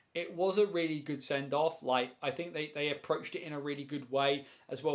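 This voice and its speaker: Talking fairly quickly, a man with a British accent has a fairly high pitch. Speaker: ice hockey streamer and commentator. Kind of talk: live stream chat. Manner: fast; animated.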